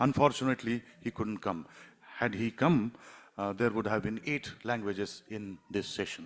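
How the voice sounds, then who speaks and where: Pitch varies in an ordinary way in this, a normal speaking voice. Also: man. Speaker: session host. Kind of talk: event welcome speech. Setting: literary festival stage.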